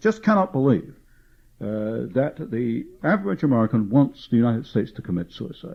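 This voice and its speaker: With a British accent, a man of medium pitch talks at a fairly quick pace, his pitch swinging very widely. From England, London. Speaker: author and researcher. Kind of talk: public lecture. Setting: meeting with audience.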